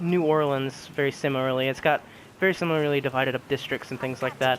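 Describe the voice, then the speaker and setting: A man with a fairly high pitch speaks with fairly even intonation over noticeable background noise. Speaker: video game reviewer. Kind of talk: game review. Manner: quiet and solemn; hesitant, many fillers.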